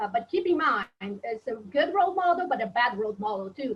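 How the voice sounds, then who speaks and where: Lively intonation runs through a woman's somewhat breathy voice. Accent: Portuguese. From Brazil. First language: Portuguese. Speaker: professor. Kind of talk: webinar panel discussion.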